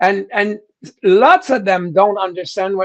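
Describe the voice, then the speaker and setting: Talking at a fairly slow pace, a man uses a high pitch with a strong French Canadian accent. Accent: thick French-Canadian. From Quebec, Canada. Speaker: rock singer. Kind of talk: interview. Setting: live stream. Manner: halting, repeats words.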